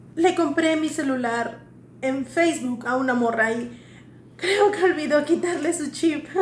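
A woman's high voice carries audible room echo and light background noise. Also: ordinary pitch variation, fairly slow pace. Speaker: comedy sketch actor. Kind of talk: scripted sketch dialogue. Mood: playful, comedic.

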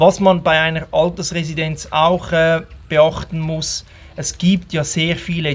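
A man is speaking. His pace is fairly slow. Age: 40s. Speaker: travel vlogger. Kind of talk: casual vlog monologue. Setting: outdoors at home in the rain. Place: garden. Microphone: phone near.

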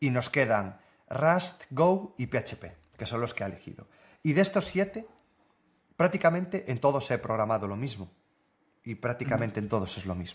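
A man of medium pitch, somewhat breathy, at a moderate pace, with very wide pitch swings and long, frequent pauses. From northern Spain. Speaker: software developer and content creator. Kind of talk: casual interview.

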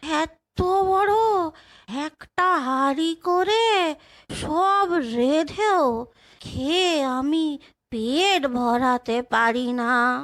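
A put-on character voice moves at a very slow pace. Its loudness stays very even. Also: woman, high pitch for a woman. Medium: read story. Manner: plaintive, rustic.

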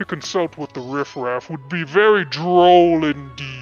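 A put-on character voice with a pompous tone moves at a moderate pace. Faint music sits in the background. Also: man, fairly high pitch for a man. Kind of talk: haughty, aristocratic. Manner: pompous, droll.

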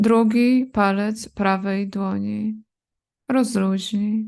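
A woman speaks very slowly at a fairly high pitch, in a monotone with flat intonation. Her tone is calm and soothing, and the background is quiet. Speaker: yoga nidra teacher. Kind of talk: guided meditation (yoga nidra relaxation). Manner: slow, calm, soothing, with long pauses between body parts; repetitive, gentle commands: 'rozluźnij' repeated.

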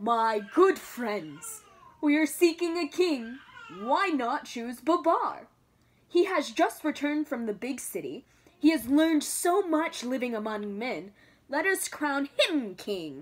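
A woman uses a put-on character voice, high-pitched and shaky. She speaks at a fairly slow pace.

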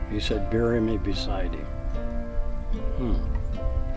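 A man's voice, dry with no echo, over clear music in the background. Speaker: farmer. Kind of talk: interview answer. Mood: relaxed storytelling. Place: farm machine.

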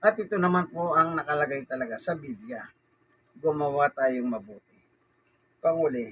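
At a moderate pace, a man talks with lively intonation, fairly high pitch and big swings in loudness. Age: 60s. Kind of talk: casual bible talk and news commentary. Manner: halting.

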